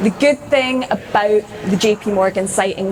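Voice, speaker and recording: Noticeable background noise sits behind a woman speaking at a fairly high pitch in a Scottish accent. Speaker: corporate recruiter presenting apprenticeships. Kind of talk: presentation to audience. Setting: stage with audience. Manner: animated.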